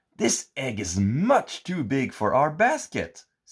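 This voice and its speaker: A man puts on a character voice. He delivers it at a fairly slow pace. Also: medium pitch for a man. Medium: read story.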